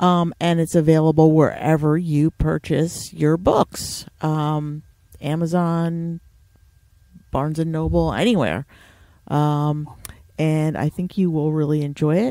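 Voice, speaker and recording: A woman's very deep, low voice with a dark, mellow tone, at a fairly slow pace, in a northeastern American accent. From US Northeast. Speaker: podcast host. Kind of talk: casual interview.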